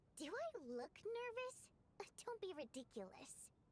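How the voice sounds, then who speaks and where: A woman speaks in a squeaky, put-on character voice pitched extremely high, with very wide pitch swings. Her pace is fairly slow, and background noise comes through clearly. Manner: nervous but denying it, defensive.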